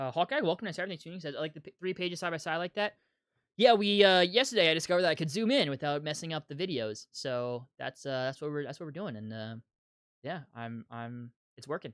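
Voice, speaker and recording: Very wide pitch swings mark a man's fairly high voice, delivered at a very fast pace. The recording is very clean, with a silent background and a dry, close sound with no echo. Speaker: YouTube comics channel host. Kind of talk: live stream commentary and chat reading. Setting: live stream.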